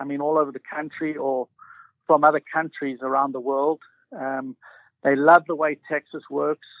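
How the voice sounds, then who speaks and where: Recorded dry and close with no echo against a quiet background, a man speaks with a South African accent. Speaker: realtor. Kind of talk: radio interview.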